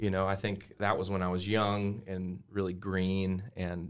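With an American accent, a man speaks in a very deep, low voice and monotone, flat intonation. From Colorado, US. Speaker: worship pastor. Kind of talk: casual interview, personal testimony.

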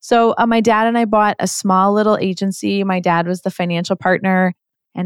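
In an ordinary speaking voice, the speaker talks at a fairly quick pace with fairly even intonation, dry and close with no echo on a very clean recording with a silent background. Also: woman. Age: 40s. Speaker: agency CEO. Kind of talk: interview.

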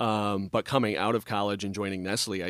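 An American-accented man, fairly low-pitched, at a fairly quick pace, dry and close with no echo, on a very clean recording with a silent background. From US Midwest. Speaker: restaurant owner. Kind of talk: casual interview chat. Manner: joking, friendly.

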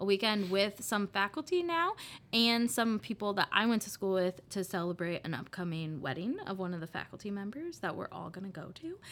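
In a plain, everyday voice with an American accent, a woman of medium pitch speaks at a fairly quick pace with lively intonation and hardly any pauses. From Iowa (Des Moines, Beaverdale). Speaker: college alumna, coffee company employee. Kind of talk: casual interview.

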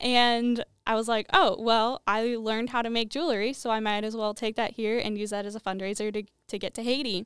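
In a normal speaking voice, a woman talks at a fairly quick pace and fairly high pitch with fairly even intonation, in a very clean, dry, close recording with no echo and a silent background. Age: 20s. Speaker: small business owner. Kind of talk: casual chat.

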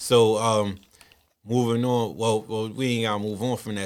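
A man talks at a medium pitch. He keeps a moderate pace. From Baltimore, Maryland. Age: 30s. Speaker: podcast host. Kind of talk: casual interview.

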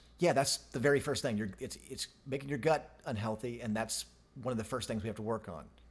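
A man talks at a fairly quick pace, his pitch medium and somewhat breathy. His pitch varies in an ordinary way. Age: 50s. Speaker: podcast co-host and business manager. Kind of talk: casual chat.

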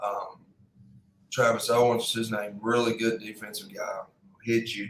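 A man speaks at a moderate pace. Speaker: football coach. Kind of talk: casual podcast interview.

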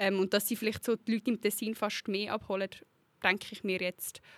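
A woman speaks in a plain, everyday voice at a fairly quick pace, her intonation fairly even, on a very clean recording with a silent background and a dry, close sound with no echo. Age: 20s. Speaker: youth party co-president. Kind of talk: interview.

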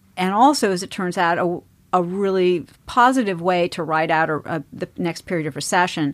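A plain, everyday voice of a woman with an American accent, fairly low in pitch, with ordinary pitch variation and hardly any pauses, on a very clean recording with a silent background. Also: moderate pace. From US East Coast. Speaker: real estate investment executive. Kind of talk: interview.

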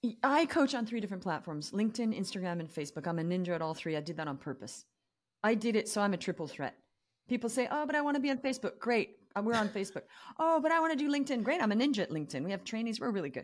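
On a very clean recording with a silent background, a woman talks at a very fast pace in an animated tone with very wide pitch swings. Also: fairly high pitch for a woman. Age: 50s. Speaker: business coach. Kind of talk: casual chat.

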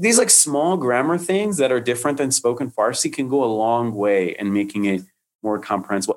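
A man speaks with an American accent at medium pitch. His intonation is lively, and it is an ordinary speaking voice. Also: very clean recording, silent background. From Detroit, Michigan, US. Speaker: poetry translator and content creator. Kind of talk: casual interview.

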